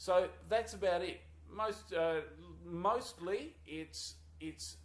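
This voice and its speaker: A man talks with an Australian accent. His pace is very slow. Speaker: university lecturer. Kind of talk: course introduction video. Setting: small office. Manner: halting, many fillers.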